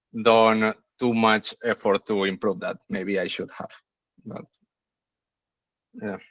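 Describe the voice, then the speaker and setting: With a non-native accent, a man speaks very slowly at a medium pitch and fairly even intonation, in a dry, close sound with no echo. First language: not English. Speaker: machine learning engineer, course alumnus. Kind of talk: webinar Q&A. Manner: halting.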